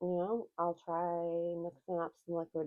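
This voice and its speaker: A soft-spoken woman talks at a very slow pace. Her pitch is very deep and low. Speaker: craft vlogger. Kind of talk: casual tutorial vlog. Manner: quiet, soft-spoken; halting, many fillers.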